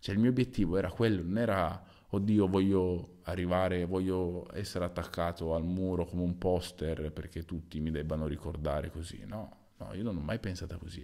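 A dark, mellow tone at a moderate pace, with ordinary pitch variation and a quiet background. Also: man, very deep, low pitch for a man. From Sicily, Italy. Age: 30s. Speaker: volleyball player. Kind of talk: solo casual monologue. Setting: at home at night. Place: home room. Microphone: new microphone, placed too close; studio mic.

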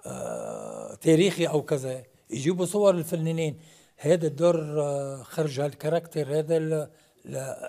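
Against a quiet background, a man speaks at a very slow pace. His tone is dark and mellow, with fairly even intonation. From Lebanon. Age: 80s. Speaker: comedic actor. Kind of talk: TV interview. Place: studio.

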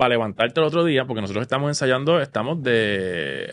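Lively intonation marks the man's fairly quick speech. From Puerto Rico, Vega Baja; Puerto Rico. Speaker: Broadway musical theatre actor. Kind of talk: casual interview chat. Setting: studio. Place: studio. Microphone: studio mic.

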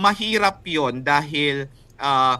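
A bright, sharp-toned man's voice, fairly high in pitch. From Philippines, Bicol region. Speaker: writer and translator. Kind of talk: interview. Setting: remote call from a meeting venue. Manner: thoughtful, with frequent hesitations.

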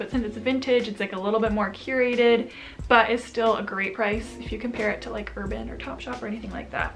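Against clear background music, a woman speaks at a very fast pace with big swings in loudness. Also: hardly any pauses. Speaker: fashion vlogger. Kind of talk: casual vlog chat. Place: home room.

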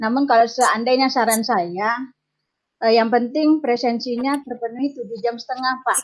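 Her intonation is fairly even. This woman talks at a high pitch. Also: moderate pace. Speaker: family planning field educator. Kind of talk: meeting feedback. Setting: video call. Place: home room. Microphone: video call.

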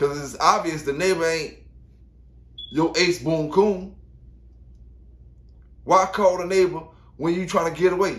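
A man with a high voice keeps fairly even intonation at a moderate pace, leaving long, frequent pauses. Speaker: dog kennel owner commenting on news. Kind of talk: casual vlog commentary. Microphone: earbuds.

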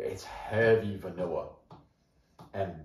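In a room with audible echo, a man talks at a fairly slow pace and a medium pitch. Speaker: whiskey reviewer. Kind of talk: product review. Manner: casual, conversational. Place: home room. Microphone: camera far.

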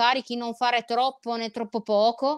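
A woman's fairly high voice holds a monotone, flat intonation. The sound is dry and close with no echo. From Italy, Genoa. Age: 30s. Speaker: trail runner and former rower. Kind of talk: casual interview chat.

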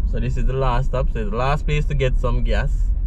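A man speaks at a moderate pace. The sound is dry with no echo, though noticeable background noise is present. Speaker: channel host. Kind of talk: casual driving commentary. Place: car. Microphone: phone near.

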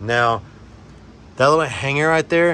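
Light background noise under a man's voice of ordinary pitch variation. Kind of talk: casual vlog tutorial. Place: garage. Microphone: phone near.

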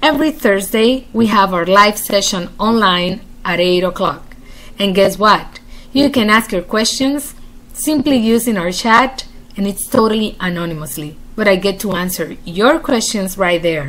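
Her pace is moderate as the woman speaks, and her intonation is lively. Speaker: emotional support host. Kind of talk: promotional direct address. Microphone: webcam.

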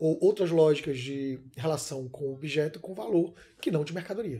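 A man is speaking. His tone is dark and mellow. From Salvador, Bahia (Brazil); Bahia, Brazil. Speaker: filmmaker; interviewee. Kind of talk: interview; interview answer. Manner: hesitant, many fillers. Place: home room.

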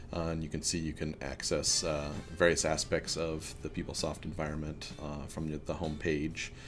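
Clear music plays in the background behind a man's voice. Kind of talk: casual vlog chat. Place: office. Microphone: webcam.

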